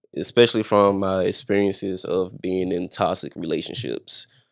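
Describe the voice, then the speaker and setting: In a very clean recording with a silent background, a man with a normal speaking voice speaks fairly slowly at a fairly low pitch and with fairly even intonation. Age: 20s. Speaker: singer and record producer. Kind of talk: interview.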